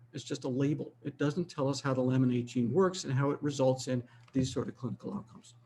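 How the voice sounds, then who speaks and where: Somewhat breathy, the voice moves at a fairly quick pace. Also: man. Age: 70s. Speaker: physician and aging researcher. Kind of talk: lecture. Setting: webinar.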